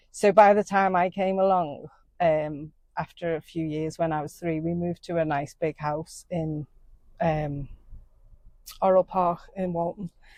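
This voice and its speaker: Dry and close with no echo, a woman's fairly low voice with a dark, mellow tone moves at a fairly slow pace, with fairly even intonation and long, frequent pauses. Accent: Liverpool. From Liverpool, England. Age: 50s. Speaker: somatic shamanic therapist. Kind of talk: interview. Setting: outdoors by a river.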